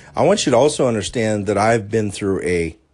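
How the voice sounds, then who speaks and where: A man speaks in a fairly low voice, an ordinary speaking voice with ordinary pitch variation. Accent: American. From US, southwestern Pennsylvania. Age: 50s. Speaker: life coach podcaster. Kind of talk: solo motivational podcast monologue.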